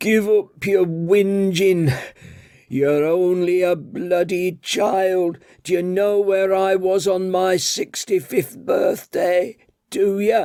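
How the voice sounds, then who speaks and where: A put-on character voice from a man, high-pitched, husky and raspy, at a very slow pace with fairly even intonation. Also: very even loudness. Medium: read story. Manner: blunt, coarse, scolding.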